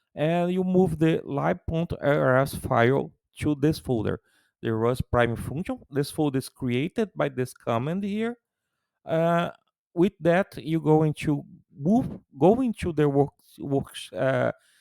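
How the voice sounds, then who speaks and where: Very slow speech from a man in a Brazilian Portuguese accent, lively intonation, a dry, close sound with no echo, and a very clean recording with a silent background. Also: fairly high pitch for a man. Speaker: tech YouTuber. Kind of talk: tutorial. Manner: halting.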